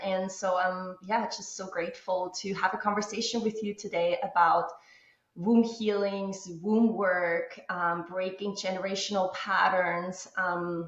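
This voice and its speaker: Speaking fairly slowly in an Austrian accent, a woman keeps a medium pitch and fairly even intonation. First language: German. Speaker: womb healing coach, former musical theater actress. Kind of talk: interview. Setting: remote call from husband's office. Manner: calm.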